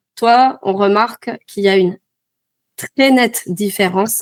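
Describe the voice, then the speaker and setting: At a fairly slow pace, a woman with an ordinary speaking voice talks at a medium pitch with ordinary pitch variation. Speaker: French teacher. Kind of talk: interviewer, language lesson video.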